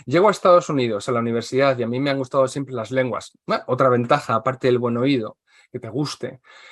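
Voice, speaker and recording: His pitch variation is ordinary. He speaks very fast. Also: medium pitch for a man. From Spain. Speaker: translator and English teacher. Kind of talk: interview.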